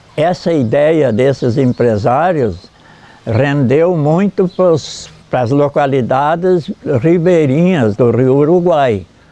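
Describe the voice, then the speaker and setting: Very slowly and at very even loudness, a man with a fairly high pitch talks with lively intonation over noticeable background noise. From Santa Catarina, southern Brazil. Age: 80s+. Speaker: elderly local resident, former river raft worker. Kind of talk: interview testimony. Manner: halting, with repetitions.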